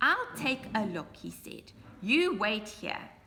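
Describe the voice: This is simply plain reading aloud.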